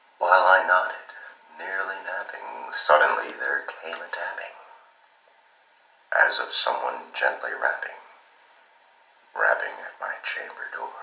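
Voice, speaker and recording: Long, frequent pauses break up fairly slow speech heard over noticeable background noise. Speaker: voice actor. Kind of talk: poetry reading.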